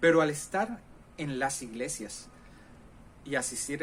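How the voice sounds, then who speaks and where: The speech moves at a fairly slow pace with fairly even intonation. Audible room echo surrounds it. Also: man. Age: 40s. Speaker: pastor. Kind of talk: sermon.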